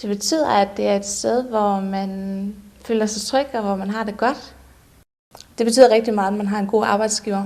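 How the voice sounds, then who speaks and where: This woman has a dark, mellow tone at medium pitch, speaking at a moderate pace with fairly even intonation. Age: 20s. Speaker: cleaning company employee. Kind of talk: employee testimonial interview.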